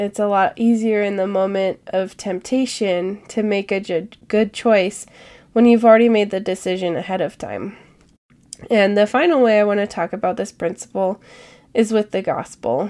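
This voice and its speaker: Recorded very cleanly against a silent background, a woman with a medium-pitched voice and a dark, mellow tone talks at a moderate pace with ordinary pitch variation. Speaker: podcast host. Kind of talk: casual solo podcast talk.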